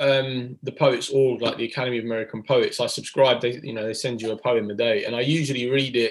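An unforced reading voice delivers the words, its intonation fairly even.

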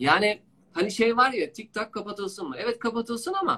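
This man's voice is high and raised, projecting outward. His intonation is lively and his pace moderate. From Istanbul, Turkey. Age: 40s. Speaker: digital marketing expert. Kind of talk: casual interview.

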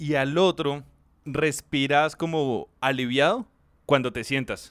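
The recording is very clean, its background silent. A man's speech unfolds at a very slow pace. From Colombia, Soacha near Bogotá. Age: 30s. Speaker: podcast co-host. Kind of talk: casual chat.

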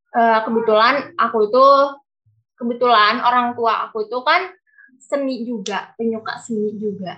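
Her voice is an unremarkable speaking voice, fairly high for a woman, with ordinary pitch variation at a moderate pace. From Cianjur, West Java, Indonesia. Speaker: dancer and university student. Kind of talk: interview.

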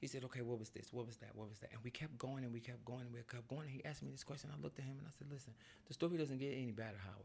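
At a very fast pace, a somewhat breathy voice speaks with ordinary pitch variation. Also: man. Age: 50s. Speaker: podcast host. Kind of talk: casual chat.

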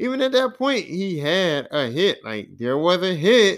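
With a Philadelphia accent, a man speaks at a high pitch and a fairly slow pace. His pitch swings very widely. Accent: Philadelphia urban American English. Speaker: podcast host. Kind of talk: casual solo podcast monologue. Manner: casual, rambling, hesitant.

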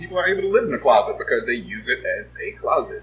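American-accented male speech amid noticeable background noise. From Los Angeles, US West Coast. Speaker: advertising and marketing professional. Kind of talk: casual chat.

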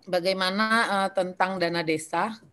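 A woman's medium-pitched voice at a very slow pace, quiet background behind her. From North Sumatra. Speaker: legislator. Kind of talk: presentation.

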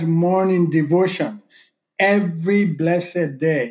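A man's voice, high in pitch. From Sierra Leone. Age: 60s. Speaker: guest, father of host, sharing life story. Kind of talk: casual interview conversation, storytelling.

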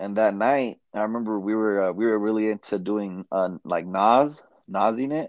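This man has an unremarkable speaking voice. His fairly low pitch shows ordinary variation. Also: moderate pace. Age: 20s. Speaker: entrepreneur selling weights. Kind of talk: casual chat.

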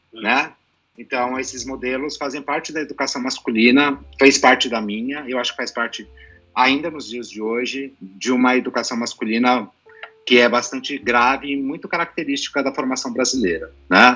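Over music in the background, a man of medium pitch talks at a moderate pace with fairly even intonation and big swings in loudness. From Brazil, son of Lebanese father. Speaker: psychologist. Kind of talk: panel discussion.

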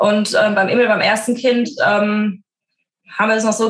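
A woman speaks with ordinary pitch variation. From Frankfurt, Germany. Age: 30s. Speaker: working mother, corporate employee. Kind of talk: podcast interview.

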